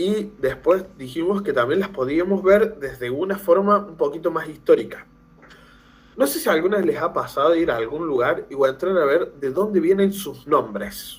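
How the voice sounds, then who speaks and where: A high-pitched man speaks with lively intonation at a moderate pace. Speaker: teacher trainer, language lecturer. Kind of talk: lecture. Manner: animated, conversational.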